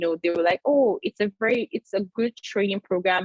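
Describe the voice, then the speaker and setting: At a fairly quick pace, a woman speaks in a medium pitch with ordinary variation. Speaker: dentist. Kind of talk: webinar talk. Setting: video call. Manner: fast.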